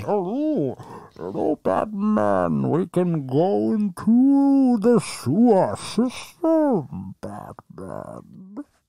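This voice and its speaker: A put-on character voice at a middle pitch goes at a very slow pace with hardly any pauses. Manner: menacing.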